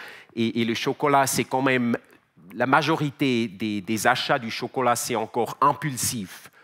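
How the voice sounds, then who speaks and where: With a Swiss German accent, a man speaks fairly slowly in a bright, sharp tone at medium pitch. His loudness swings widely, while his pitch varies in an ordinary way. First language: Swiss German (speaking French). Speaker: company CEO, conference speaker. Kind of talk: conference talk. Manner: halting, many repetitions and fillers.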